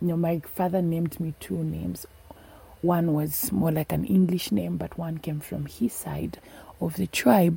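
This woman has a very deep, low pitch, a dark, mellow tone, a somewhat breathy quality and very wide pitch swings, speaking with a Zambian accent. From northern Zambia. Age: 20s. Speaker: food scientist, activist. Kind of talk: personal storytelling.

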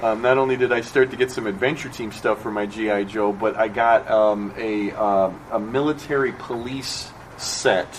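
Medium-pitched male speech, ordinary in its pitch variation, against noticeable background noise. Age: 50s. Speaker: panel moderator and writer. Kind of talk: panel discussion. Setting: stage with audience.

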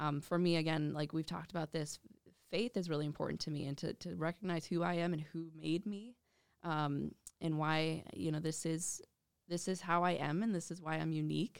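A woman's very deep, low voice at a fairly quick pace, fairly even in intonation, with an Upper Midwest accent. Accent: Upper Midwest American. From Minnesota, western Twin Cities suburbs. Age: 20s. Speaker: adaptive athlete and amputee ambassador. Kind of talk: interview.

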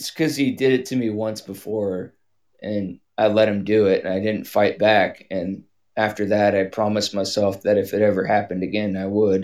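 A man with a normal speaking voice talks at a moderate pace, fairly low in pitch and with fairly even intonation. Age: 30s. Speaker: caller, wildland firefighter. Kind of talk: personal call-in conversation.

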